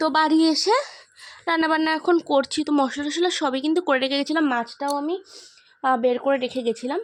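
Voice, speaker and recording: Her pitch is high. The woman's voice shows ordinary pitch variation. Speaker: vlogger. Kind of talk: casual vlog narration. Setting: at home. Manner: soft-spoken.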